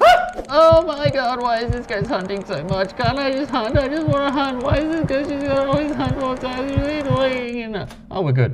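This is a put-on character voice, female-sounding and high in pitch for a woman. It runs at a moderate pace with hardly any pauses over clear background noise. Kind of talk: comic. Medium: comedy sketch.

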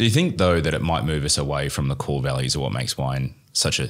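In an Australian accent, a man talks fairly quickly with a very deep, low pitch. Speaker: wine podcast host and trained winemaker. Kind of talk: interview. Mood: relaxed, curious. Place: studio. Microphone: studio mic.

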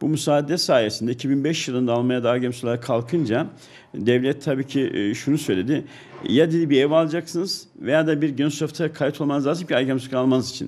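Ordinary pitch variation marks this man's speech, delivered at a fairly quick pace. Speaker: businessman. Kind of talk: interview. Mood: calm, explanatory. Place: office. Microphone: handheld.

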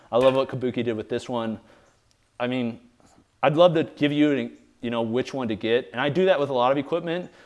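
With an American accent, a man talks at a fairly quick pace with ordinary pitch variation and long, frequent pauses. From US Midwest. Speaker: fitness equipment reviewer. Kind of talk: casual video review. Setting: home garage gym. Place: garage.

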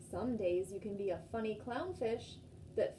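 Over light background noise, a woman speaks at a fairly slow pace in a dark, mellow tone with vocal fry and lively intonation. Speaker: storytime host. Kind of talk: children's storytime and singing. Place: home room. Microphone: phone near.

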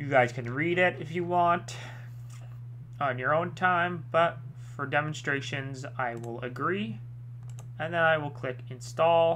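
Long, frequent pauses interrupt delivery that proceeds at a fairly slow pace. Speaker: tech tutorial YouTuber. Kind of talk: tutorial. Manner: casual, with filler words and self-corrections.

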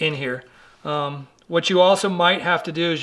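A man with a bright, sharp tone. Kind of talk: tutorial. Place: garage.

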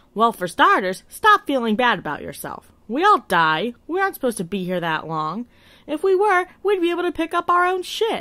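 A female-sounding, put-on character voice runs high-pitched at a fairly quick pace with very wide pitch swings, on a very clean recording with a silent background. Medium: short film. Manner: blunt, irritated, matter-of-fact.

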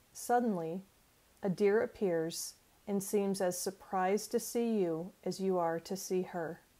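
Soothing and warm with a dark, mellow tone, a woman's voice keeps a fairly even intonation at a fairly slow pace. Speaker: life coach. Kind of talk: guided imagery meditation, second-person sensory narration. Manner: slow, soothing, gently paced with calming pauses; warm, encouraging and friendly. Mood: calm, soothing. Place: home room. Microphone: earbuds.

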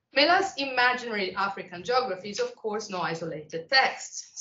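Speech comes at a fairly quick pace over light background noise, with audible room echo. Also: woman. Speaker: visiting lecturer. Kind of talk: lecture. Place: classroom.

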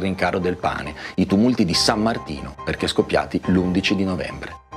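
A man talks at a fairly quick pace in a very deep, low pitch. Clear music plays in the background. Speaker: presenter. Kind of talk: educational narration on a novel's plot. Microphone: lapel.

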